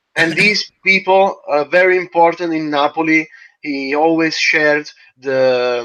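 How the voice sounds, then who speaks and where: Speaking at a very slow pace, a man uses a fairly high pitch and a bright, sharp tone with ordinary pitch variation. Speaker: interpreter. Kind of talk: interpreting.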